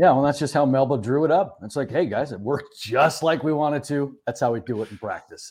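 In an unremarkable speaking voice, a man talks at a fairly high pitch and a fairly quick pace, with hardly any pauses. His pitch variation is ordinary, and the recording is very clean with a silent background. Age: 50s. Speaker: high school sports podcast co-host. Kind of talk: casual chat.

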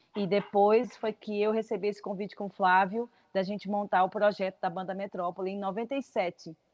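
Speaking at a moderate pace, a woman with a medium pitch delivers her words in a flat monotone, the sound dry and close with no echo. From Paraíba, Brazil (from age 14). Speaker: singer. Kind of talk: radio interview. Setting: video call.

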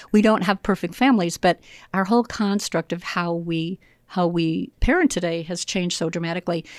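On a very clean recording with a silent background and a dry, close sound with no echo, a woman with a normal speaking voice talks at a fairly low pitch and a fairly quick pace with ordinary pitch variation. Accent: American. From US Midwest, Illinois. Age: 60s. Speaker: professional trainer and consultant. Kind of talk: casual interview chat. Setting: studio.

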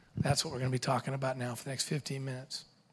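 Somewhat breathy and medium in pitch, a man's voice rushes along at a very fast pace. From US West Coast (Washington State, California). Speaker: seminary professor and youth ministry speaker. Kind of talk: parenting seminar talk. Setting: church hall with live audience. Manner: animated.

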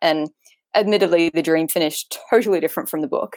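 A woman with an Australian accent speaks at a fairly quick pace. Her fairly low voice has a dry, close sound with no echo. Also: very clean recording, silent background. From Australia, Queensland. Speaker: author. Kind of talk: casual chat.

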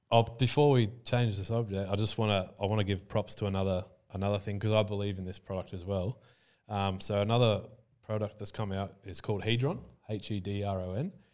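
A man with an Australian accent speaks fairly quickly at a fairly low pitch, with fairly even intonation and a quiet background. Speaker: crypto entrepreneur and former Muay Thai fighter. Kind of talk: casual interview chat. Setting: studio.

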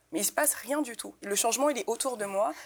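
In a very clean recording with a silent background, a woman uses a normal speaking voice, with ordinary pitch variation and a fairly quick pace. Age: 20s. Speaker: activist and independent curator. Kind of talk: panel discussion.

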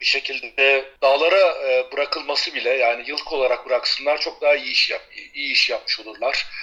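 Moderate-paced speech from a man, with noticeable background noise. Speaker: paraglider and sailor living abroad. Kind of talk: casual interview. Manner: hesitant, many fillers.

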